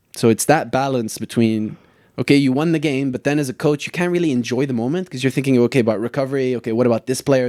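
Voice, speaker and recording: A man's very fast American-accented speech, medium in pitch, dark and mellow in tone, with fairly even intonation, on a very clean recording with a silent background. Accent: closer to American than British. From Lebanon. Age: 30s. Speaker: soccer coach. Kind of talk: casual podcast interview.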